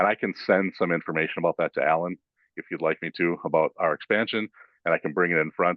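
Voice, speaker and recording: Very deep and low, a man's voice goes by at a very fast pace. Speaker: food bank representative. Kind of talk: presentation to county board. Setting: county board meeting room. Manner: halting, many fillers.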